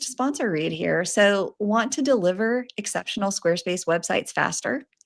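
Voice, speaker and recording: With an American accent, a woman uses lively intonation at a moderate pace in a normal speaking voice. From United States. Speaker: podcast co-host. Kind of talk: casual chat. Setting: live podcast recording.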